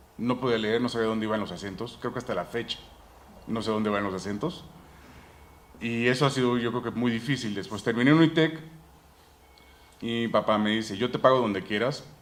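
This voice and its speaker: Fairly quick speech from a man, with ordinary pitch variation, long, frequent pauses and audible room echo. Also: medium pitch for a man. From United States (Mexican family). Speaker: dentist, implant specialist, conference speaker. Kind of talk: conference talk.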